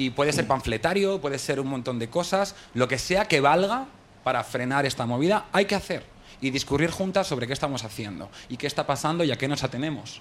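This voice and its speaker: The man's voice is fairly high. His intonation is lively. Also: fairly quick pace. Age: 30s. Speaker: actor. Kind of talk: casual chat. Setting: stage with audience.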